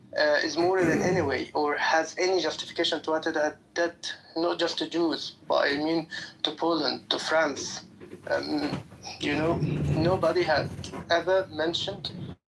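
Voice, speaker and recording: Speaking at a moderate pace with a non-native accent, a man with a fairly high pitch keeps a flat, monotone intonation and very even loudness over noticeable background noise. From outside the US. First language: not English. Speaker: debate participant. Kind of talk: live online debate. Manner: halting, many fillers; hesitant.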